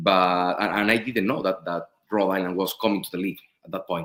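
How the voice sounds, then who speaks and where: With a Spanish accent, a man talks at a fairly low pitch. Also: very clean recording, silent background. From Spain. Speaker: professional soccer goalkeeper. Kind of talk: interview. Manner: halting, many fillers and repeats.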